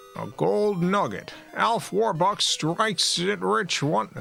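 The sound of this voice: A man puts on a raspy character voice, high-pitched and raised to project. Clear background noise is heard. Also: fairly slow pace.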